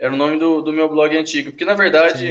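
A man talks with fairly even intonation, keeping to a moderate pace. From Brazil, Uberlândia, Minas Gerais. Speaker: comic book artist. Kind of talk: casual interview chat.

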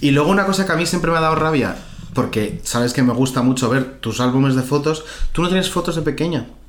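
A man's fairly high voice at a very fast pace, very even in loudness, with ordinary pitch variation over noticeable background noise. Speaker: podcast host interviewing his grandmother. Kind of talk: casual chat.

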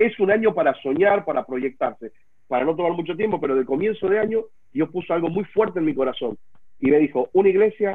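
At a very fast pace, a man with a high pitch speaks using lively intonation. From Buenos Aires, Argentina. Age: 40s. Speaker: pastor. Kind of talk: casual panel discussion. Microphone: unstable internet connection.

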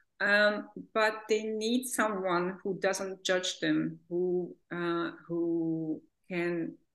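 At a very slow pace, a woman speaks in a Hungarian accent with ordinary pitch variation. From Hungary. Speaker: therapist. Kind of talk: interview. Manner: hesitant, many fillers.

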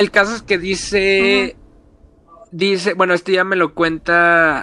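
A man speaks with a high pitch. His intonation stays fairly even. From Mexico, Reynosa, Tamaulipas. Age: 20s. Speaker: communications graduate. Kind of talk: casual chat, storytelling. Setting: remote call from home.

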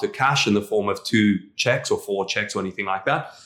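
This voice moves at a moderate pace, with a bright, sharp tone and a South African accent. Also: man. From South Africa, Afrikaner community. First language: Afrikaans. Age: 30s. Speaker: real estate entrepreneur. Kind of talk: interview. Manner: hesitant, many fillers and repetitions.

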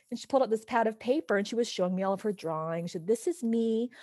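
A woman with an unremarkable speaking voice talks at a fairly high pitch with lively intonation, in a dry, close sound with no echo against a quiet background. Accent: American. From Southern California. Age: 40s. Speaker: actress. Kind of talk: casual interview chat.

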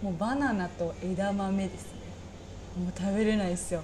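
This woman's voice sits at a medium pitch and sounds somewhat breathy. Room echo is audible. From Saga, Japan. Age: 20s. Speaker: restaurant part-time worker. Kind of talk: casual chat.

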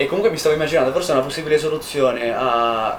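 Noticeable noise fills the background. Over it, a man speaks very fast. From northern Italy, Valtellina. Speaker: podcast co-host, engineering student. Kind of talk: casual chat.

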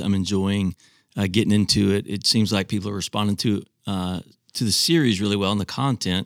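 A man with a normal speaking voice talks at a fairly quick pace and a fairly low pitch, his intonation fairly even, in a dry, close recording with no echo that is very clean over a silent background. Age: 50s. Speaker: senior pastor. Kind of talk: casual chat.

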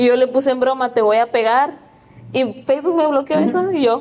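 Fairly quick and high-pitched, a woman talks with a Mexican accent and ordinary pitch variation. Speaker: podcast guest. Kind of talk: casual chat.

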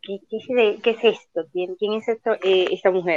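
Fairly slow speech with fairly even intonation and a dry, close sound with no echo. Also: woman. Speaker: guest, film enthusiast. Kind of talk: casual chat.

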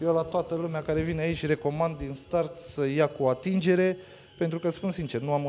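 This voice belongs to a man. The words come out very fast. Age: 30s. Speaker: escape room owner. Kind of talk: casual chat. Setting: on location at his escape house.

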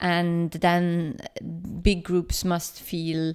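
A woman's fairly low voice with a Swedish accent at a very slow pace, on a very clean recording with a silent background. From Sweden, Stockholm. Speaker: project founder and journalist. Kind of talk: interview. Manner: halting, many fillers.

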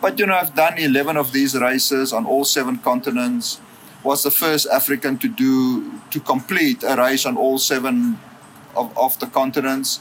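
Noticeable background noise sits behind a man speaking at a moderate pace with a fairly high pitch, lively intonation and very even loudness. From South Africa, Western Cape (Worcester). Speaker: philanthropy and development professional, ultramarathon runner. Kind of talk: interview. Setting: in person, Johannesburg.

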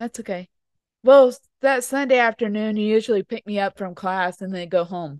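A woman's unremarkable speaking voice, fairly high in pitch with ordinary pitch variation and big swings in loudness, at a moderate pace, dry and close with no echo over a quiet background. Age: 30s. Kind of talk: casual chat. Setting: indoors by a fireplace at home.

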